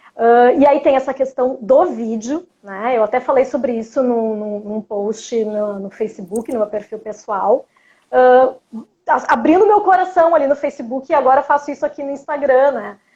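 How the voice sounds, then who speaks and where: In a strong Porto Alegre accent, a woman speaks at a high pitch with a dark, mellow tone. Her intonation is lively and her pace moderate. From Brazil, Porto Alegre. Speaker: journalist and cultural producer. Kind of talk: interview. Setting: livestream.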